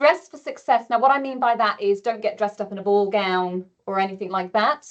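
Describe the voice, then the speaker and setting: With an ordinary speaking voice, a woman talks fairly quickly at a fairly high pitch and with ordinary pitch variation. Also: big swings in loudness. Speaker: presentation skills trainer. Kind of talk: webinar presentation. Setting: webinar.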